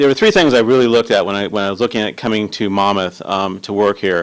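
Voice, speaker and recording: A man's fairly quick delivery with ordinary pitch variation. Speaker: city manager candidate. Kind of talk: job interview. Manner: halting; fast.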